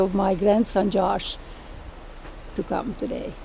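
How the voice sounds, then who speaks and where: A woman has a dark, mellow tone that is somewhat breathy. She talks at a moderate pace. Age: 70s. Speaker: Holocaust survivor. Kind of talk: testimony.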